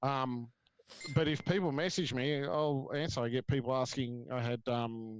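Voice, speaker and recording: This man speaks with an Australian accent. His pitch is medium. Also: ordinary pitch variation, moderate pace. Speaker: reptile breeder. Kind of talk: panel discussion.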